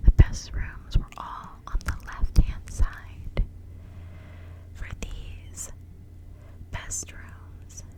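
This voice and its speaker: A whisper in a soothing tone, very slow, with long, frequent pauses and big swings in loudness. Noticeable background noise sits behind it. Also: woman. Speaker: ASMR creator. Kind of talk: bedtime story reading, ASMR. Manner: whispered, soothing.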